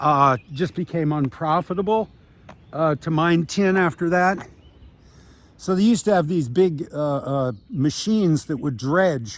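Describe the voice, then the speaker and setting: This man has an unremarkable speaking voice, fairly high in pitch, with an American accent. He talks at a fairly slow pace with ordinary pitch variation. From US Midwest, Iowa City, Iowa. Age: 60s. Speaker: retired beachcomber vlogger. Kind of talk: casual vlog narration with mini-lecture. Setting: outdoors on a beach by bicycle. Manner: rambling with many fillers.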